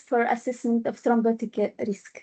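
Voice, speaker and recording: A woman's voice has a dark, mellow tone. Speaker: hematologist. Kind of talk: conference talk. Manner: halting.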